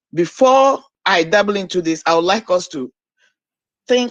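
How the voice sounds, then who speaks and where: A woman speaks at a moderate pace in a Nigerian accent, at a medium pitch. Her pitch swings are very wide. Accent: Nigerian Igbo English. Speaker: caller. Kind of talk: call-in commentary.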